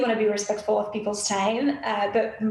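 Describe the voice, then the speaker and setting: Noticeable background noise and audible room echo fill the recording. Through it, a woman speaks at a fairly quick pace. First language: French. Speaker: graphic designer. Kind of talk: interview.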